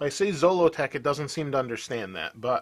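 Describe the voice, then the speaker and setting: Talking at a fairly quick pace with an American accent, a man shows ordinary pitch variation in a very clean recording with a silent background. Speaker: tech video host. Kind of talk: tutorial. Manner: casual.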